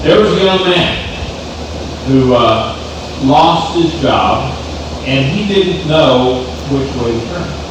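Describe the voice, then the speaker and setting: Noticeable background noise runs behind a man speaking at a very slow pace with long, frequent pauses. His fairly high voice has lively intonation. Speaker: congregation preacher giving a sermon. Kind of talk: sermon to a congregation.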